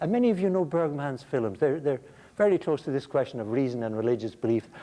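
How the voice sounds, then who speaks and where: A man with an Irish accent talks at a very fast pace, his pitch fairly high. His tone is dark and mellow, and his intonation is lively. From Ireland. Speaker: philosophy lecturer. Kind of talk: lecture. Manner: halting, frequent repetitions; animated.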